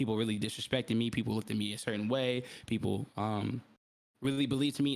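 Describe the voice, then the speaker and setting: Keeping a fairly quick pace, a man talks with fairly even intonation. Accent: American. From US South, Atlanta area, Georgia. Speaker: podcaster. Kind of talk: casual chat. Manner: halting, self-correcting.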